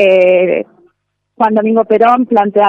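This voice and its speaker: A woman in a normal speaking voice, medium pitch, at a fairly slow pace. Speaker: university researcher and sociology lecturer. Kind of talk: interview.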